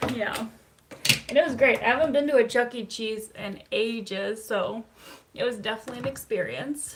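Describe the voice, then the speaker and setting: A moderate pace over noticeable background noise. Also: woman, fairly high pitch for a woman, ordinary pitch variation. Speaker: psychotherapist hosting live stream. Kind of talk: live stream talk. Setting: live stream. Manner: casual, conversational.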